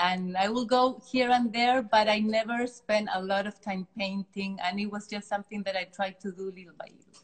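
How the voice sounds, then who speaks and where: In a Chilean accent, a somewhat breathy woman talks at a moderate pace and medium pitch, with hardly any pauses. Her intonation is fairly even while her loudness swings widely. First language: Spanish. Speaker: artist. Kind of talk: interview. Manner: halting.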